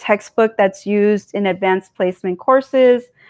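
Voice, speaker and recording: A woman talks at a medium pitch. The recording is very clean and the background silent. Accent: Californian. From California, US. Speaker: political commentary streamer. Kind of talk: live stream monologue. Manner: casual, digressive with fillers.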